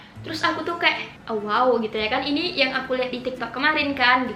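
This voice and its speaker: Amid noticeable background noise and audible room echo, a woman speaks in a high pitch. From Indonesia, Pekanbaru (Riau). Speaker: vlogger. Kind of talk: casual vlog chat. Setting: bedroom at night. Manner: fast, excited; quiet, low volume.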